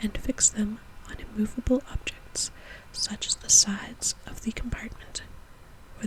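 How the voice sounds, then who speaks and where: Over noticeable background noise, a woman is whispering at a moderate pace. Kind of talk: reading aloud from an antique science book. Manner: soft-spoken.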